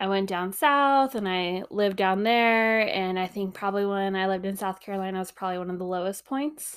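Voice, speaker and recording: A woman speaks in an ordinary speaking voice with fairly even intonation. The recording is very clean, with a silent background. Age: 30s. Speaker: podcast host, mom. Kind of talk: casual monologue. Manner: casual, frequent laughs and fillers.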